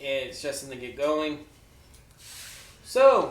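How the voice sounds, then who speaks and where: A man is talking. His voice carries audible room echo. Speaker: streamer and mask maker. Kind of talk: casual live stream chat. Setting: garage.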